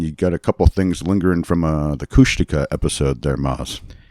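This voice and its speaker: A man's very deep, low voice with a dark, mellow tone and an American accent, at a moderate pace, in a dry, close sound with no echo. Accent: Boston accent comes back at times. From Massachusetts. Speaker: podcast host. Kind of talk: casual chat.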